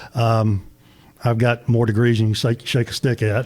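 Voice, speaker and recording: Talking at a fairly quick pace, a man with a Tennessee accent has a medium pitch, a somewhat breathy voice and monotone, flat intonation. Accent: Southern US (Tennessee). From US South, northern Middle Tennessee. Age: 60s. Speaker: small business owner, Christmas light installer. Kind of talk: radio interview.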